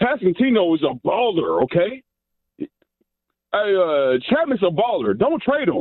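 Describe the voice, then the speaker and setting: A high-pitched male voice with very wide pitch swings, a fairly slow pace, and long, frequent pauses. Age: 40s. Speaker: sports radio caller. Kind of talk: casual phone-in call to a sports talk show. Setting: phone call. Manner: animated, excitable; halting, repeating words.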